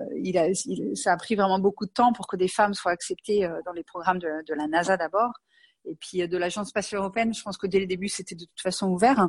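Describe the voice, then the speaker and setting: Over a quiet background, a woman speaks fairly quickly at a medium pitch with ordinary pitch variation. Her loudness swings widely, and the sound is dry and close with no echo. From western France (Angers). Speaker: astronaut candidate. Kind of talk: interview. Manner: hesitant, many fillers.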